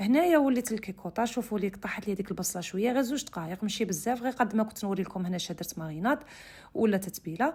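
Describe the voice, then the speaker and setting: At a fairly quick pace, a woman with a fairly high, somewhat breathy voice speaks with ordinary pitch variation. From Algeria, Oran (west). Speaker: cooking channel host. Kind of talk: cooking tutorial. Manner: casual, conversational.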